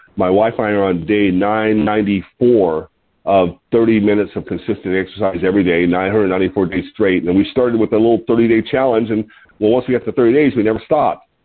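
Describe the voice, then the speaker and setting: At a moderate pace, a man talks in a normal speaking voice with a fairly low pitch and ordinary pitch variation. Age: 60s. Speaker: health product distributor hosting a weight-loss call. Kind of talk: conference call talk with tips. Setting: phone conference call. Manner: casual, some filler words.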